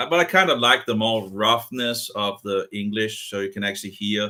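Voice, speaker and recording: A man's fairly low voice, bright and sharp in tone, with fairly even intonation. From Denmark. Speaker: video chat channel host. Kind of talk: casual chat. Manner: halting.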